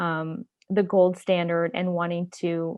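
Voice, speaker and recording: Speaking at a fairly low pitch, a woman talks with a non-native accent. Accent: foreign. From Japan, Indonesia and the Philippines. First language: not English. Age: 40s. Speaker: community activist. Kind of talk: interview.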